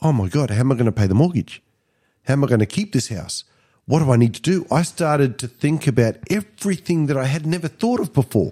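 With an Australian accent, a man speaks at a very fast pace in a fairly high, somewhat breathy voice with a dark, mellow tone and lively intonation, in a very clean recording with a silent background and a dry, close sound with no echo. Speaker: podcast co-host, business coach. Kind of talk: casual self-help chat.

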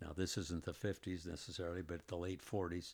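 A man with a warm tone, a very deep, low pitch, and an American accent, on a very clean recording with a silent background. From US Midwest, Indianapolis, Indiana. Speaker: retired teacher and school counselor. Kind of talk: elder life story, fond reminiscence of a 1950s boyhood told to a grandson. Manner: unhurried, meandering, with frequent uh fillers and self-corrections; warm and chuckling, occasional laughs.

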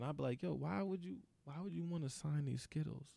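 A man with an American accent, fairly quick delivery, medium pitch and very wide pitch swings, in a dry, close sound with no echo on a very clean recording against a silent background. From US suburbs. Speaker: podcast host. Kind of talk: casual chat.

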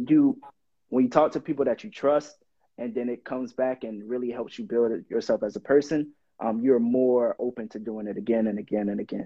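A man with an American accent talks at a fairly quick pace in an ordinary speaking voice, with a medium pitch and ordinary pitch variation. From Miami, Florida. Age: 20s. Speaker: rapper. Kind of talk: casual interview.

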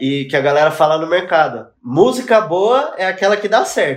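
A man talks at a moderate speed while music sits in the background. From São Paulo east zone, Brazil. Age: 20s. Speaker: music video director. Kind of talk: casual chat.

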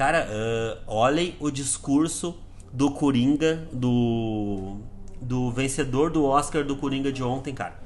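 Audible room echo surrounds a man speaking very slowly at a medium pitch with ordinary pitch variation. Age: 30s. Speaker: sales director giving team talks. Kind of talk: motivational talk. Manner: casual, animated.

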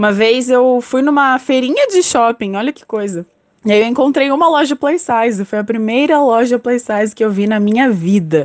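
The woman's pitch is high. She keeps a moderate pace with lively intonation. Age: 20s. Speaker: communications analyst. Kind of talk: testimony.

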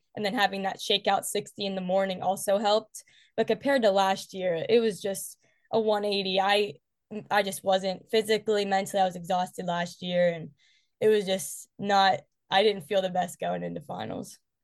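A woman with an American accent, monotone and flat in intonation, against a quiet background. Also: medium pitch for a woman, moderate pace. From West Virginia. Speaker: college track athlete. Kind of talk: interview.

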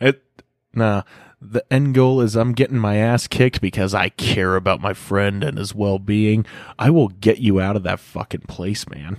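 A man speaks in an ordinary speaking voice at a moderate pace, his pitch fairly low with ordinary variation. The sound is dry and close, with no echo. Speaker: guest music reviewer. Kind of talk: casual banter, music review. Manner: joking, laughs often.

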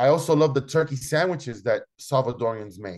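With a Spanish accent, a man speaks at a moderate pace and medium pitch against a quiet background. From Chicago, Logan Square area. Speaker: chef and restaurant owner. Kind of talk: interview. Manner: halting, many repetitions.

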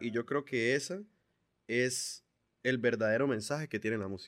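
A man speaks over a quiet background. The sound is dry and close, with no echo. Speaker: singer, percussionist and music producer. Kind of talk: casual interview conversation.

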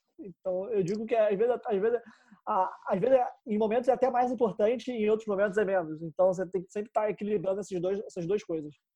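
A man talks at a very fast pace in a high voice with a dark, mellow tone. His pitch varies in an ordinary way. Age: 20s. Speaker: marketing professional. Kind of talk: podcast interview. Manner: casual, animated.

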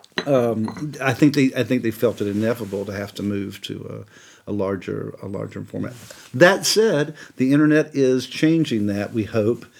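A man with an American accent has a normal speaking voice at a medium pitch. His pitch varies in an ordinary way, and his pace is moderate. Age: 50s. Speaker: composer. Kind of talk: casual chat.

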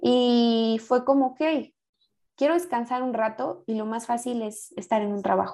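A woman's dark, mellow tone comes at a fairly slow pace. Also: fairly high pitch for a woman, ordinary pitch variation. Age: 20s. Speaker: podcast guest. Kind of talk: casual chat.

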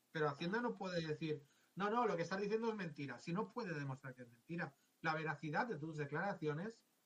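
This man talks with a high pitch and ordinary pitch variation. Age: 50s. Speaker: tax adviser. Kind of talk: interview.

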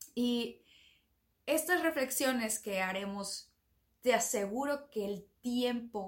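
Ordinary pitch variation marks a woman's speech at a very slow pace. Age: 30s. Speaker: podcast host, self-development coach. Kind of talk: motivational monologue.

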